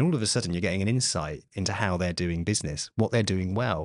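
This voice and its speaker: A man with a very deep, low pitch, ordinary pitch variation and a very fast pace, in a dry sound with no echo against a quiet background. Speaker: podcast host. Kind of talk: interview answer. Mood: enthusiastic, friendly. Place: studio. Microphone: studio mic.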